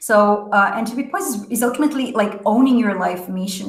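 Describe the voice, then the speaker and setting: A woman with a non-native accent speaks at a moderate pace. Her voice is somewhat breathy, and there is audible room echo. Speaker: leadership coach. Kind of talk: motivational talk. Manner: halting, many fillers.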